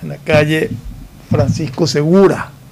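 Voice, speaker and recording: A man's fairly slow delivery with ordinary pitch variation. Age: old. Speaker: political commentator. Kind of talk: radio talk show discussion. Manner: halting.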